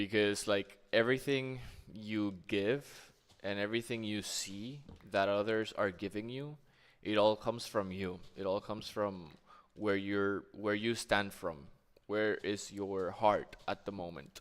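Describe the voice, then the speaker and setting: On a very clean recording with a silent background, a man with a Spanish accent talks at a fairly slow pace and fairly low pitch, using ordinary pitch variation. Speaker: gaming streamer. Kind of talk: casual chat while gaming.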